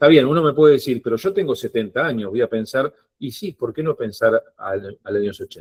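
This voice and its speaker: Somewhat breathy and lively in intonation, the voice moves at a fairly quick pace in a dry, close sound with no echo. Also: man. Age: 50s. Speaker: financial advisor. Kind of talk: online workshop talk.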